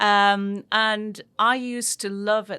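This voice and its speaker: A woman with a northeast English accent has a bright, sharp tone on a very clean recording with a silent background. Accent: northeast English, kept. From northeast England, near Newcastle. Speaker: business executive and board chair. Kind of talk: interview.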